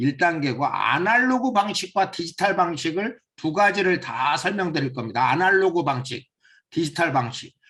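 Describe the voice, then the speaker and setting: A man with a high-pitched voice speaks at a moderate pace, his bright, sharp tone and lively intonation carried at a very even loudness. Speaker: seminar instructor. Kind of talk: lecture.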